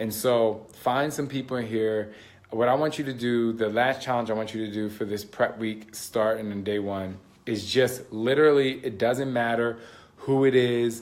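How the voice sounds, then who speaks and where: A man of medium pitch speaks at a moderate pace. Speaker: fitness and mindset coach. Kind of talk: casual live stream talk. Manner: loud; animated.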